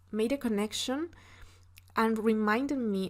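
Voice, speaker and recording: This woman speaks with a Spanish accent. Her pitch varies in an ordinary way. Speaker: podcast host. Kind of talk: solo podcast monologue. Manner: halting, with fillers.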